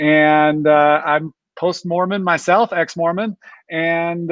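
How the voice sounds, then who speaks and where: The man has a plain, everyday voice with fairly even intonation. His pitch sits fairly high. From Utah, Ogden. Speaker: chiropractor, panel guest. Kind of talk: casual interview introduction.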